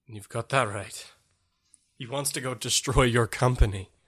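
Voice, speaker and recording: A man puts on a raspy character voice at medium pitch. He speaks at a moderate pace with fairly even intonation. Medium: actual play.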